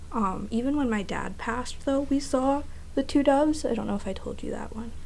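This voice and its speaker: A woman with an American accent talks at a fairly quick pace amid audible room echo. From New Jersey, US. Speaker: podcast co-host. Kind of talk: casual chat.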